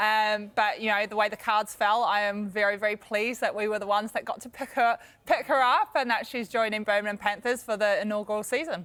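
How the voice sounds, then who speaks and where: In a New Zealand accent, a woman talks at a fairly quick pace with hardly any pauses, fairly even intonation and a fairly high pitch. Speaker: netball coach. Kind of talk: TV interview. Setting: TV studio. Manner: hesitant, many fillers.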